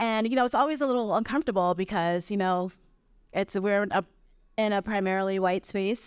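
With an American accent, a woman speaks in a plain, everyday voice at medium pitch and very even loudness, recorded very cleanly with a silent background and a dry, close sound with no echo. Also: ordinary pitch variation. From Brooklyn, New York. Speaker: ultrarunner and outdoor advocate. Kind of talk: live podcast conversation. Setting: live stage with audience.

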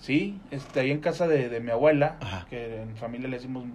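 Music plays in the background and the room echo is audible as a man speaks at a medium pitch and fairly quick pace with ordinary pitch variation. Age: 40s. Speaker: radio co-host. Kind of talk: casual chat.

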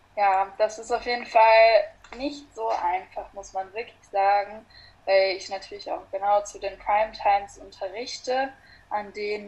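In an ordinary speaking voice, a woman talks at a moderate pace with a medium pitch and ordinary pitch variation. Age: 20s. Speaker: yoga teacher. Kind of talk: casual interview.

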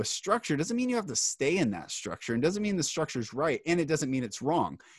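A man with an American accent and a high pitch, at a fairly quick pace, with very wide pitch swings over a quiet background. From Seattle, US Pacific Northwest. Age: 30s. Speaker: author and public speaker. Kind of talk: casual interview.

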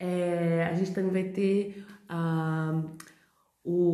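In a room with audible echo, a woman speaks at a fairly low pitch with monotone, flat intonation. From Brazil, São Paulo. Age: 30s. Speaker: podcast host. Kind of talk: casual monologue. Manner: chatty, talkative.

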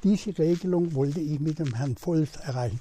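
This man's dark, mellow tone sits at a fairly high pitch and carries lively intonation. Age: 90s. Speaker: retired politician. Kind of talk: interview.

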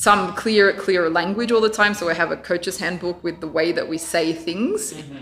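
Australian-accented speech at a moderate pace, with big swings in loudness and noticeable background noise. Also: woman, fairly low pitch for a woman, ordinary pitch variation, hardly any pauses. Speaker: volleyball coach. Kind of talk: casual chat. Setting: in person.

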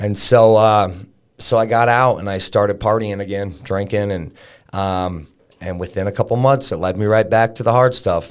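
Here is a man with an ordinary speaking voice at a fairly low pitch. His pace is moderate and his intonation fairly even. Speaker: fitness coach and business owner. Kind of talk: casual interview, recovery story.

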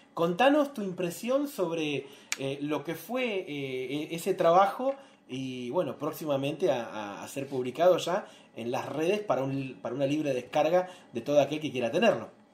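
This man's voice sits fairly high in pitch. He speaks at a moderate pace with lively intonation. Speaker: interviewer for a publishing house. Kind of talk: live-streamed interview. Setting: live video stream, also on radio. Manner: halting, many fillers.

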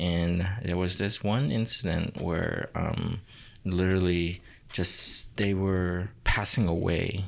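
A man with a very deep, low voice speaks very slowly and with fairly even intonation, captured on a very clean recording with a silent background. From Myanmar. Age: 20s. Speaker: tattoo artist. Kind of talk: casual interview chat.

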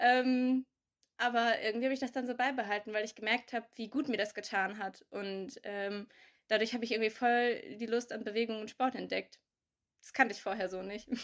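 A woman with a plain, everyday voice speaks fairly quickly at a fairly high pitch with fairly even intonation. The recording is very clean, with a silent background. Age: 20s. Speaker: young adult sharing pandemic experiences. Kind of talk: casual chat.

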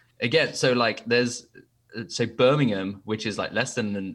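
With an English accent, a man talks at a medium pitch with ordinary pitch variation, in a very clean recording with a silent background. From England. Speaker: guest asking listener questions.

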